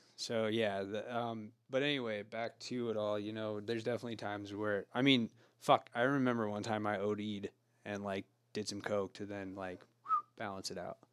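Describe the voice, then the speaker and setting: In a West Coast accent, a man speaks at a moderate pace in a fairly low, monotone voice with flat intonation. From rural Oregon. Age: 30s. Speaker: sober living house founder. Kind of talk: casual chat.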